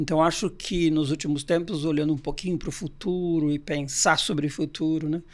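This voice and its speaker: In a very clean recording with a silent background, a man with a normal speaking voice and fairly high pitch talks with fairly even intonation and hardly any pauses. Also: moderate pace. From Brazil, Santos (São Paulo state). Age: 60s. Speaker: organizational consultant. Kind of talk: podcast interview.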